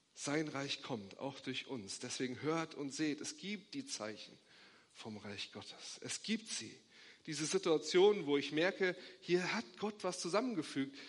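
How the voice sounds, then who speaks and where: Fairly high-pitched male voice with vocal fry and very wide pitch swings, at a fairly slow pace. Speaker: pastor. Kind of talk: sermon, preacher in full flow, urgent and rousing. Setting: church. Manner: emphatic, insistent, repeating short imperatives; warm, hopeful, rising to a blessing.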